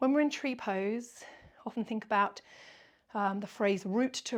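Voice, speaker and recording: A plain, everyday voice, recorded very cleanly against a silent background. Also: woman. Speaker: yoga teacher. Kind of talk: guided yoga class instruction.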